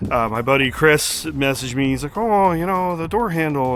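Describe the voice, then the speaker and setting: In a strong Canadian accent, a man speaks with lively intonation as music plays in the background. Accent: Canadian, thick. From Canada. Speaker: car YouTuber. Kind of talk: casual vlog talk to camera. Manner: casual, many filler words.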